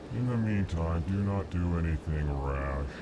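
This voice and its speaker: A man's put-on character voice, very deep and low, at a moderate pace against loud background noise. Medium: video game. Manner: states emotion before speaking, formal.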